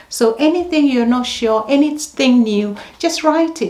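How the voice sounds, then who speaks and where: Noticeable background noise sits behind a woman who speaks at a moderate pace with lively intonation. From Ghana. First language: Ghanaian language (not English). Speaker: nurse. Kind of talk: advice vlog. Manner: conversational, with filler ums.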